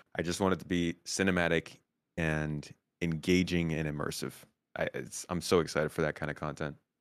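Here a man with an American accent speaks at a fairly quick pace. His pitch is very deep and low, and his intonation is monotone and flat. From United States. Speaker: Star Citizen YouTuber. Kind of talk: casual chat.

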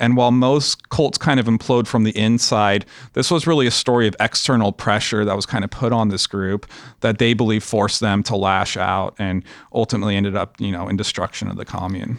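In an American accent, a man with a fairly low pitch uses an ordinary speaking voice, ordinary pitch variation and a fairly quick pace, recorded with a dry, close sound and no echo. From Los Angeles, US. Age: 30s. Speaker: documentary director. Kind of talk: casual interview chat.

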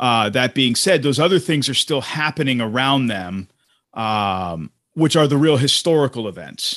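This is a man with a normal speaking voice. His intonation is lively. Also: medium pitch for a man, moderate pace. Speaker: podcast host. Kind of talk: casual chat. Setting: video call.

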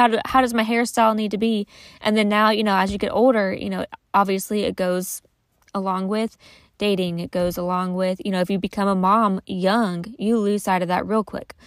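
Speaking at a fairly quick pace, a woman with an unremarkable speaking voice holds a medium pitch and fairly even intonation, the sound dry and close with no echo on a very clean recording with a silent background. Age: 30s. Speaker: podcast host. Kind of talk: casual monologue. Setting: in a closet at home. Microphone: recording in closet for better audio.

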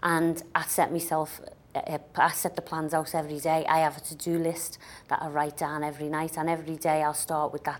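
In a very clean recording with a silent background, a woman with a Liverpool accent speaks quickly in a very deep, low pitch with monotone, flat intonation. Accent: Liverpool (Scouse) English. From Liverpool, England. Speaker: business author. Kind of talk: interview.

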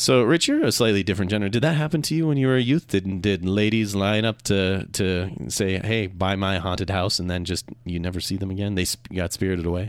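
Speaking in a plain, everyday voice, a man with an American accent keeps a fairly quick pace and a fairly low pitch with ordinary pitch variation. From Minnesota. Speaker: radio talk show host. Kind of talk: radio talk show interview.

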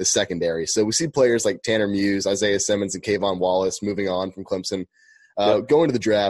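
A man's ordinary speaking voice, fairly low in pitch, with fairly even intonation against a quiet background. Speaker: podcast co-host. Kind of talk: casual interview.

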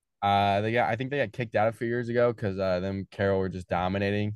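Delivered in an American accent, the speech stays monotone and flat throughout. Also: man. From Fort Wayne, Indiana (US Midwest). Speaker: college baseball pitcher. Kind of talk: casual interview.

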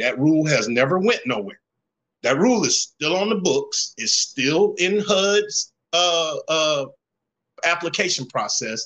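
Talking at a very slow pace, a man with a Southern US accent has a bright, sharp tone and lively intonation. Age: 50s. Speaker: plumber and community mentor. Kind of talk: casual chat.

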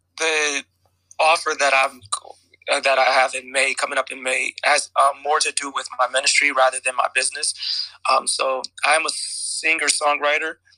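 A man talks at a moderate pace. The sound is dry and close, without any echo. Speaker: guest speaker. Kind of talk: casual chat. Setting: audio chat app room. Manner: halting.

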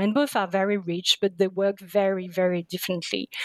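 Fairly quick speech from a woman in a French accent, monotone and flat, with a dry, close sound and no echo. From France, Paris suburbs. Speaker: literature scholar. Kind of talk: interview.

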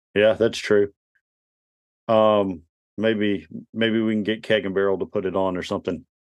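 A man's fairly low, monotone voice with flat intonation and long, frequent pauses. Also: moderate pace. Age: 40s. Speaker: sports podcast co-host. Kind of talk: casual sports chat.

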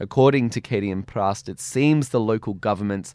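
Over a very clean recording with a silent background, a man talks at a moderate pace in a fairly low pitch with ordinary pitch variation. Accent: Australian. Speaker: radio show host. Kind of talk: radio presenting. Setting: studio.

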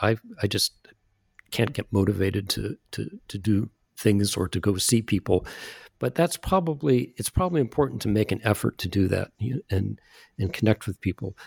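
A man with a fairly low voice speaks at a moderate pace with lively intonation and vocal fry, in a very clean recording with a silent background and a dry, close sound with no echo. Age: 70s. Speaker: retired neurologist and author. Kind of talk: interview. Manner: halting, many fillers and repetitions.

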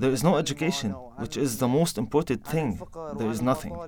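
Noticeable background noise runs under a man speaking at medium pitch and a moderate pace. His pitch swings very wide. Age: 20s. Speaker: displaced Syrian activist. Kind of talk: interview testimony.

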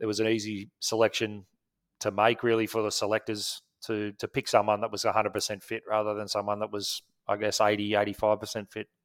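A man with an Australian accent at a very fast pace, fairly low in pitch, in monotone, flat intonation, on a very clean recording with a silent background and a dry, close sound with no echo. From Australia, Wollongong (New South Wales). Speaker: former cricketer and coach. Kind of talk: interview. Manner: halting, many fillers.

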